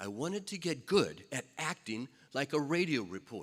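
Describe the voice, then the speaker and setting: Against a silent background on a very clean recording, the voice shows vocal fry and very wide pitch swings. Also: man. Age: 60s. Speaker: radio reporter. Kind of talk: acceptance speech.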